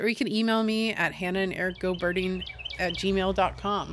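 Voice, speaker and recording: A woman speaks at a fairly quick pace in a medium pitch with fairly even intonation, over noticeable background noise. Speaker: podcast host. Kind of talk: casual interview.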